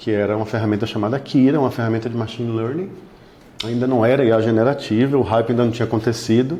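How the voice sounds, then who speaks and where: Fairly quick in pace, a man speaks at medium pitch with a dark, mellow tone and ordinary pitch variation. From Bahia, Brazil. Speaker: law firm technology partner. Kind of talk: interview.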